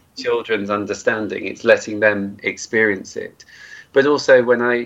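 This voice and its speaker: At a moderate pace, a man speaks at medium pitch. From Cornwall, England. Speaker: charity chief executive. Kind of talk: interview. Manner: hesitant, many fillers.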